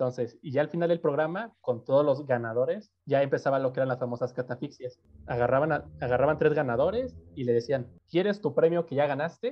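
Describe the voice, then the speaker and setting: With a Mexico City accent, a man talks at a fairly high pitch and fairly quick pace, with ordinary pitch variation and hardly any pauses. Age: 20s. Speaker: university student. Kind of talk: casual chat.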